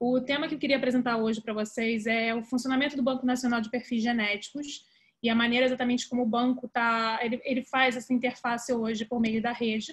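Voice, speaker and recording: Speech races at a very fast pace in a monotone, flat intonation over a quiet background. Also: woman, high pitch for a woman. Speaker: presenter. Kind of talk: lecture. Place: home room. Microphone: webcam.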